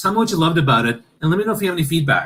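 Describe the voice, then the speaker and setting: Male speech, somewhat breathy, its pitch swinging very widely. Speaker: keynote speaker and storytelling coach. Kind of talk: interview. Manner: fast.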